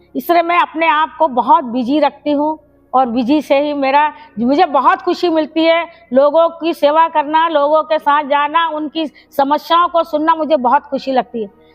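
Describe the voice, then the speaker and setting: Music plays in the background. A woman with a high pitch speaks in a fairly even intonation. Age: 70s. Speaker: retired teacher and community organizer. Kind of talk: personal life story interview.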